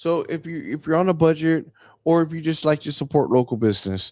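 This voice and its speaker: A man speaks at a moderate pace in an animated tone. The sound is dry and close with no echo, in a very clean recording with a silent background. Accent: Mexican. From Texas, Mexican heritage. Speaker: local show host. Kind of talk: casual talk-show monologue. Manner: animated, repeats words.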